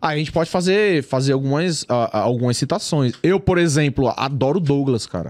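On a very clean recording with a silent background, a man with a normal speaking voice talks at a moderate pace and fairly high pitch, his intonation lively. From São Paulo East Zone, Brazil. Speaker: YouTuber, football fan channel creator. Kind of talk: casual chat. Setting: studio.

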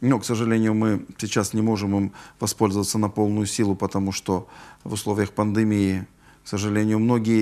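A man's voice has a dark, mellow tone. He talks at a fairly quick pace. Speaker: neurologist; guest. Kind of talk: live TV health call-in interview. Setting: TV studio. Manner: hesitant, with filler sounds. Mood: calm, slightly regretful. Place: studio.

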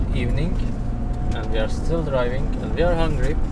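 A man is speaking while loud noise fills the background. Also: dry sound with no echo. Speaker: travel vlogger. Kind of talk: casual vlog chat. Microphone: camera far.

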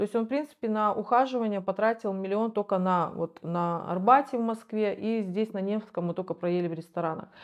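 Speaking at a fairly quick pace with hardly any pauses, a woman uses a medium pitch and ordinary pitch variation against a quiet background. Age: 40s. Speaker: rehab patient, recovering drug user. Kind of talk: interview testimony. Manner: halting. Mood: reflective, candid. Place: home room. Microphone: lapel.

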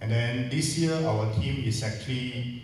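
The man's voice carries strong room echo over light background noise. He speaks at a moderate pace. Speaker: event organizer host. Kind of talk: welcome speech. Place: hall.

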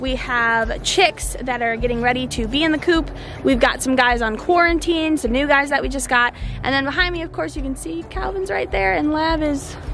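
Clear music plays in the background as a woman speaks at a high pitch and a moderate pace, with a dry sound and no echo. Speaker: farm vlogger. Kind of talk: casual vlog chat. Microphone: phone near.

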